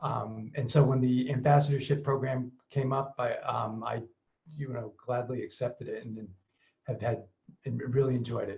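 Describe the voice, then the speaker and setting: Somewhat breathy and monotone, a man speaks at a medium pitch and moderate pace with flat intonation and big swings in loudness. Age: 60s. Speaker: Parkinson's patient ambassador. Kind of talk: panel discussion, personal introduction. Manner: halting, many fillers.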